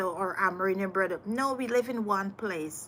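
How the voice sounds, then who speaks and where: An animated woman speaks with a Trinidadian accent. Her pitch sits at a medium level. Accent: sounds Trinidadian, but is Guyanese. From Guyana. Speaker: voter interviewed on the street. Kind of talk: street interview.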